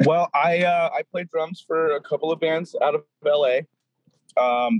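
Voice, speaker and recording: With an American accent, a man has a normal speaking voice and ordinary pitch variation. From Southern California. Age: 30s. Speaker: punk drummer. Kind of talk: casual chat.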